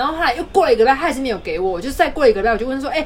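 With noticeable background noise around her, a woman speaks at a very fast pace in a high pitch, her tone animated and her intonation lively. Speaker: podcast co-host. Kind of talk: casual chat.

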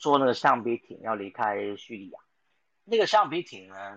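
This is an ordinary speaking voice, a man talking at medium pitch and a moderate pace. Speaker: sports podcast host. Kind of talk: casual chat.

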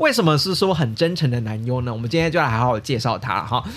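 A man's medium-pitched voice in a Taiwanese accent, with ordinary pitch variation and noticeable background noise. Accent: Taiwanese Mandarin. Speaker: podcast host. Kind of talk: casual podcast monologue. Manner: casual, chatty, filler-heavy.

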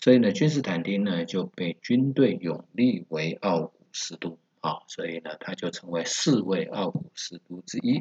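With very deep, low pitch, a man speaks using lively intonation. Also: moderate pace, big swings in loudness. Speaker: travel expert and history podcast host. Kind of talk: solo history narration. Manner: hesitant with many filler words.

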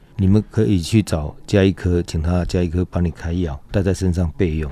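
Speaking at a fairly quick pace over a quiet background, a man with a very deep, low pitch and a dark, mellow tone uses ordinary pitch variation. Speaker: mountain rescue team leader. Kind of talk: interview.

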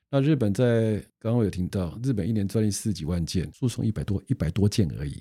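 A man's very fast delivery with a fairly low pitch, a dark, mellow tone and lively intonation, in a very clean recording with a silent background. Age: 60s. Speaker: patent attorney. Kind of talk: casual interview.

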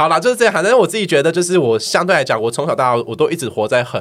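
A man talks at a very fast pace with a fairly high pitch, vocal fry and very wide pitch swings. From Taiwan, Miaoli. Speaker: podcast guest. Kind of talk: casual chat.

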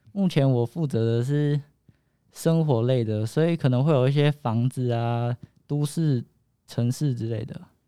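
A man's medium-pitched voice, dark and mellow in tone, with ordinary pitch variation, a fairly slow pace, and a dry, close sound with no echo. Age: young. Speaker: game designer. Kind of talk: interview. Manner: halting.

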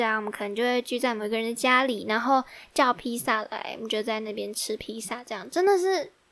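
On a very clean recording with a silent background, a woman talks with an animated tone, high pitch, ordinary pitch variation and a fairly quick pace. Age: 20s. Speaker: podcast host, university student. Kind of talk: casual solo chat.

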